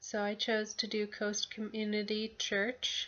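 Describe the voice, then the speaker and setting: Here a woman talks at a medium pitch. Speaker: student. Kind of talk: class assignment video report. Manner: hesitant, many fillers.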